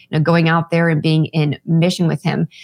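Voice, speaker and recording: Fairly low-pitched woman in a normal speaking voice, at a fairly quick pace, dry, close sound with no echo. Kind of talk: interview testimony.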